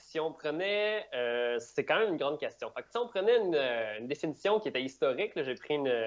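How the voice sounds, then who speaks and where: A man with a strong Quebec accent speaks at a fairly high pitch and a very fast pace. He leaves hardly any pauses, and his loudness swings widely. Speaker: digital operations director, conference speaker. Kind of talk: conference talk.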